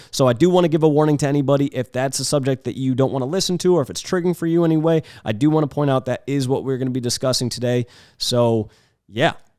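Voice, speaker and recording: Speaking at a very fast pace, a man with a fairly high pitch and a dark, mellow tone shows ordinary pitch variation. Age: 20s. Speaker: podcast host and photographer. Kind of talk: casual chat. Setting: home studio with cameras. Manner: casual, lots of filler words.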